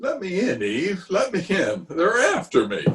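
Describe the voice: A man takes on a put-on character voice, high-pitched with a husky, rough edge and a fairly bright tone. His pitch swings very wide at a fairly slow pace.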